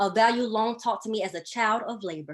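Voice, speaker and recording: A woman with a Southern US accent speaks at a fairly high pitch and a moderate pace. The recording is very clean, with a silent background. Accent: Southern twang. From US South, Birmingham, Alabama. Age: 20s. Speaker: divinity student and labor organizer. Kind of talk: prepared speech. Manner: formal.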